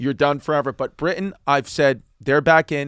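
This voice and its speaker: A man with an unremarkable speaking voice talks at a fairly high pitch and moderate pace, with an American accent. The recording is very clean with a silent background, dry and close with no echo. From United States. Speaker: stand-up comedian. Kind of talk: casual podcast conversation.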